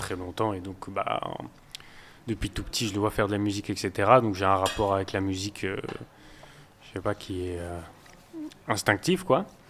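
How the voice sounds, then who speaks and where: The speaker keeps a moderate pace and fairly even intonation, with long, frequent pauses. Loudness swings widely from moment to moment. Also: man, fairly low pitch for a man. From northern France, Boulogne-sur-Mer. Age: 20s. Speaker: rapper. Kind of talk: casual interview.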